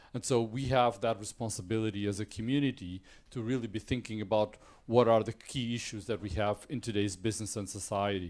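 Against a quiet background, a man with a Portuguese accent speaks fairly quickly at a fairly low pitch with fairly even intonation. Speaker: business school dean. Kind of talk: welcome speech. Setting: stage with audience. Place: hall.

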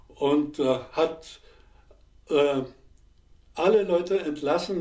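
Audible room echo surrounds a man's dark, mellow voice with ordinary pitch variation. The background is otherwise quiet. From Upper Silesia. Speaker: war veteran, historical eyewitness. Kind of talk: interview answer. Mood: calm, reflective recollection. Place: studio.

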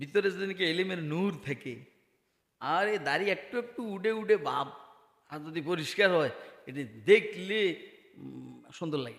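This man's high-pitched voice sounds animated, with big swings in loudness. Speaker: Islamic preacher. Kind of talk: sermon. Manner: animated, rhetorical questions to audience.

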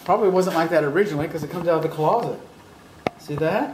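Very fast speech over noticeable background noise. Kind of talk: walkthrough commentary. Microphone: phone near.

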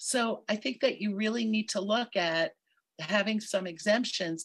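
Against a quiet background, a woman with an American accent speaks at a moderate pace, somewhat breathy, with a fairly high pitch and ordinary pitch variation. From New York City, Manhattan; New York City. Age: 60s. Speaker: member of the public. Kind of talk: public hearing testimony. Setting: virtual hearing. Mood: concerned, mildly frustrated. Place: home room. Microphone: video call.

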